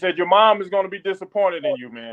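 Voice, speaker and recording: A high-pitched man at a moderate pace, with a Louisiana accent. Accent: Southern US (Louisiana). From Louisiana, US South. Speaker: military chaplain. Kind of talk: testimony.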